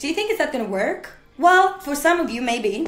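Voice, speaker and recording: A woman with a non-native accent and lively intonation at a moderate pace, with music in the background and audible room echo. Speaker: motivational speaker. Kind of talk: motivational talk. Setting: studio. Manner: animated.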